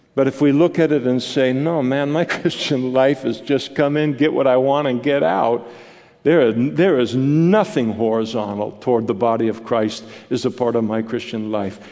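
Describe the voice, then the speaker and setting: A man speaks at a medium pitch and a moderate pace. His pitch varies in an ordinary way over noticeable background noise. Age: 60s. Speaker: pastor. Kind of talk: sermon. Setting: church.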